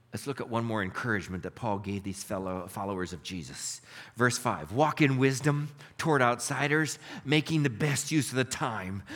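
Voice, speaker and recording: Speaking at a moderate pace, a man with a medium pitch uses lively intonation and some vocal fry. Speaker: pastor. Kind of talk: sermon with prayers, a fervent closing prayer. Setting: church with congregation. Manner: earnest, heartfelt, pleading and reverent in prayer; warm, conversational, upbeat.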